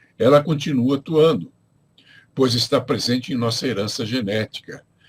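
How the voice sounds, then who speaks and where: Somewhat breathy, the man's medium-pitched voice moves at a moderate pace with ordinary pitch variation. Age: 70s. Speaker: spiritual teacher. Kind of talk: lecture. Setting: livestream from home. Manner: reads from notes.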